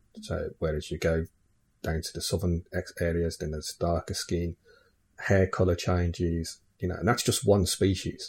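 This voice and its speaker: In an English accent, the speaker talks at a moderate pace with a somewhat breathy voice and fairly even intonation, captured in a very clean recording with a silent background. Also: man, very deep, low pitch for a man. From England. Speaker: podcast host. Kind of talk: casual chat.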